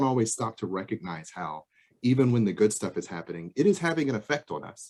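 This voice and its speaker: A man at a very fast pace, medium in pitch. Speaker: psychologist presenter. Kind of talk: presentation. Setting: video call.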